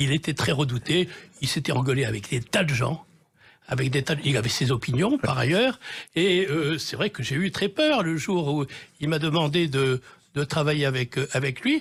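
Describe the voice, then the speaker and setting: A man talks at a moderate pace in a fairly high, somewhat breathy voice with ordinary pitch variation. The recording is very clean, with a silent background. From Marseille, southern France. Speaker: TV director and novelist. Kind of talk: radio interview. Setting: radio studio. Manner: hesitant, many fillers.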